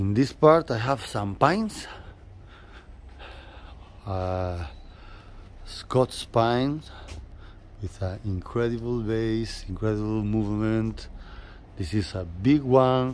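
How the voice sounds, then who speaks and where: A very slow male voice in a Spanish accent, medium in pitch, with ordinary pitch variation and long, frequent pauses. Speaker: bonsai nursery owner. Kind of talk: casual guided tour to camera.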